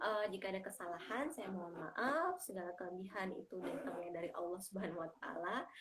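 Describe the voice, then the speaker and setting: Through noticeable background noise, a woman at a medium pitch talks at a very fast pace with lively intonation and hardly any pauses. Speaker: community group host. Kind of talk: live-stream chat. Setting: live stream from a bedroom. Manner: loud. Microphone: headset not working, speaking without it.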